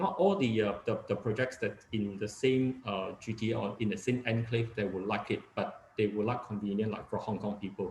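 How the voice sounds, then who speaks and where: A man's fairly low, somewhat breathy voice with a Cantonese accent, moderate in pace with hardly any pauses. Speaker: real estate agent. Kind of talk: webinar talk. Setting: video call. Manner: halting, many fillers.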